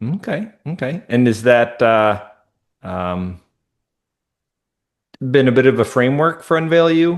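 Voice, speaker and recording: A man's medium-pitched, lively voice at a fairly slow pace, broken by long, frequent pauses. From Minnesota. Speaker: podcast host. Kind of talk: interview.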